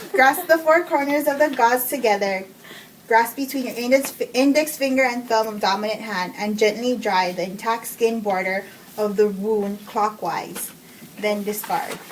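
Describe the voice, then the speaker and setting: A woman speaks at a moderate pace with a fairly high pitch and ordinary pitch variation. Noticeable background noise is present. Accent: non-native. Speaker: nursing student. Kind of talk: reading procedure steps aloud.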